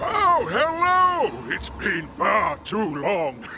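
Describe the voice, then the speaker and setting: A man's put-on character voice at a very slow pace, with clear background noise. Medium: machinima. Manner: warm, laughing.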